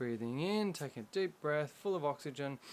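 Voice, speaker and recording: Speaking with a normal speaking voice, a man with fairly high pitch and ordinary pitch variation keeps a fairly quick pace. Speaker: meditation guide. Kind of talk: guided meditation. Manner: calm, instructional.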